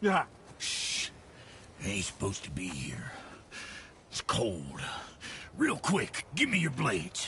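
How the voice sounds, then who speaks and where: A man's raspy, put-on character voice at a fairly slow pace, with long, frequent pauses over clear background noise. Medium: video game. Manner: folksy, colloquial.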